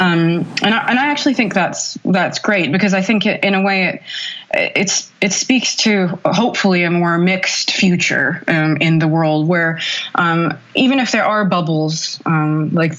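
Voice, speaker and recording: A woman with an American accent talks at a moderate pace in a fairly low pitch, with ordinary pitch variation and very even loudness. Noticeable background noise runs behind her. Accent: American-sounding. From Saudi Arabia, Riyadh. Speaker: feminist writer. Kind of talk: interview. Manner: hesitant with many fillers.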